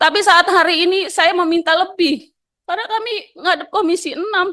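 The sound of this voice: Loud and bright with a sharp tone, a woman speaks at a moderate pace in an extremely high pitch with ordinary pitch variation.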